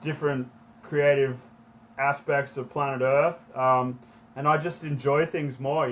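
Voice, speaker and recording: A man speaks in an Australian accent with a fairly high pitch. His intonation stays fairly even. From Australia, Sydney Northern Beaches. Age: 30s. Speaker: entrepreneur and activist, former pro skier. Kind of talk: podcast interview. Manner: casual, with many fillers.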